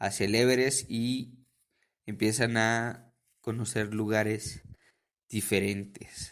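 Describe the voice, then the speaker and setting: Here a man speaks with a fairly low pitch. His intonation is monotone and flat. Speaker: podcast host. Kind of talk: casual podcast talk.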